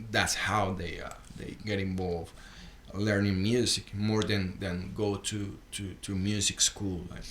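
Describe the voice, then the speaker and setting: With audible room echo, a man talks at a fairly slow pace in a fairly low pitch and a monotone, flat intonation. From Colombia, Bogota. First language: Spanish. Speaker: rockabilly guitarist. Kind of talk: casual podcast interview. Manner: halting, many repetitions and fillers.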